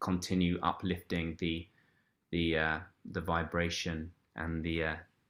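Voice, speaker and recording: On a very clean recording with a silent background, a man with an English accent speaks at a very slow pace, his very deep, low voice bright and sharp in tone and his intonation monotone and flat. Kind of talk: interview answer.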